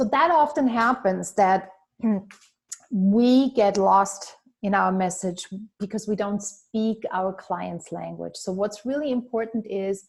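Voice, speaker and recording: With a non-native accent, a woman delivers her words fairly slowly. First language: not English. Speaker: business coach. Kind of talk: webinar training.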